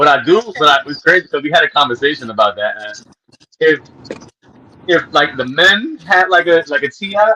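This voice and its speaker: Loud and high-pitched, this man talks with lively intonation and long, frequent pauses. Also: moderate pace. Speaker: guest, performer. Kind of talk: casual interview chat.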